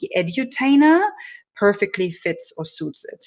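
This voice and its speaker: A woman talks at a moderate pace in a very clean recording with a silent background. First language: not English. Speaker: personal branding strategist and keynote speaker. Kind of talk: interview.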